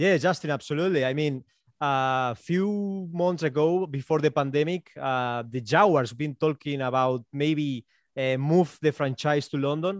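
A man with a Spanish accent and ordinary pitch variation, dry and close with no echo. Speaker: sports podcaster. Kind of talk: interview.

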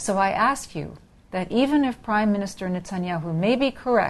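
Against a quiet background, a woman speaks at a moderate pace. She has an unremarkable speaking voice with ordinary pitch variation. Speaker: news editor. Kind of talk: interview. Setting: studio.

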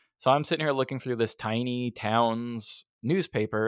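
A man at a medium pitch, moderate pace and fairly even intonation, on a very clean recording with a silent background. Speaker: podcast host and audio producer. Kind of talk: casual chat. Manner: halting.

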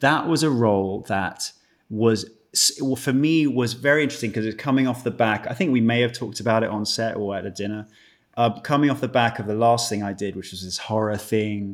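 With a British accent, a man speaks at medium pitch with lively intonation. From UK. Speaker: actor. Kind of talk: casual chat. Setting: video call. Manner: joking, charming.

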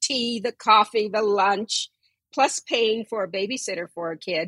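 A woman with an American accent uses a normal speaking voice, fairly high in pitch with ordinary pitch variation, at a fairly slow pace in a dry, close sound with no echo. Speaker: anti-racism activist. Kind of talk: interview.

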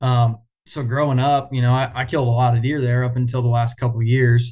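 With an American accent, a man speaks fairly quickly in a flat monotone, his tone dark and mellow and somewhat breathy. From US Midwest, east central Iowa. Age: 20s. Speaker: bowhunter. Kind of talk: casual interview chat.

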